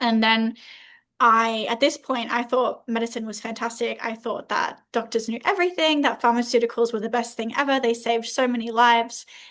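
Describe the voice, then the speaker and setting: In an Australian accent, a woman speaks at a fairly quick pace and fairly high pitch with fairly even intonation. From Australia, Southeast Queensland. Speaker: holistic health coach. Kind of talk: interview.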